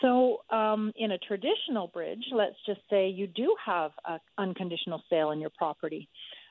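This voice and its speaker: With hardly any pauses, a woman talks in an ordinary speaking voice at a medium pitch. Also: ordinary pitch variation, moderate pace. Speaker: mortgage broker. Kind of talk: expert advice on radio.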